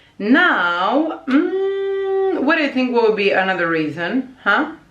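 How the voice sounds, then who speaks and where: Very slow and high-pitched, a woman's voice moves through very wide pitch swings amid audible room echo. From Croatia. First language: Croatian. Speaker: language teacher and vlogger. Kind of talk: casual vlog talk. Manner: hesitant with many fillers.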